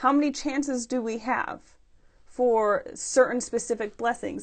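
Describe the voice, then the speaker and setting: A woman speaks at a fairly slow pace in a high pitch with ordinary pitch variation over a quiet background. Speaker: scripture study vlogger. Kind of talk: scripture study with reading aloud. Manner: animated, excited; halting with fillers.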